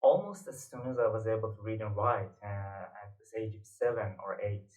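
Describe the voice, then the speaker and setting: Moderate pace and fairly even intonation, in a Persian accent. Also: man. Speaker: poet and literature teacher. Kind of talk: lecture. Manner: hesitant with fillers.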